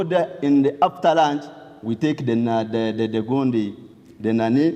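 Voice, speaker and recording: Speaking with a western Ugandan accent, a man uses lively intonation. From southwestern Uganda (Ntungamo). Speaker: testimony speaker. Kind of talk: testimony.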